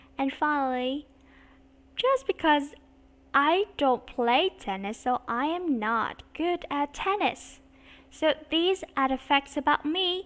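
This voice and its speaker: Speaking very slowly with a Vietnamese accent, a woman uses a high pitch and lively intonation. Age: 30s. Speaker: English teacher. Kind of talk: online English lesson. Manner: slow and clear.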